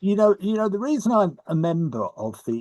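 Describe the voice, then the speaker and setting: Speaking with an English accent, a man uses very wide pitch swings at a fairly quick pace. His tone is dark, mellow and somewhat breathy, recorded dry and close with no echo. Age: 70s. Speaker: society historian and board member. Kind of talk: online Q&A discussion.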